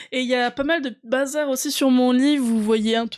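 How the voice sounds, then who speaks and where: Intonation stays fairly even as a woman speaks at a high pitch. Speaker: board game youtuber and streamer. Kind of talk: casual vlog chat to viewers. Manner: hesitant, many fillers.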